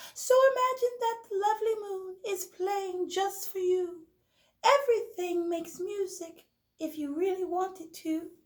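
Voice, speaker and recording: In a put-on character voice, a woman squeaks at an extremely high pitch and a moderate pace. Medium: read story.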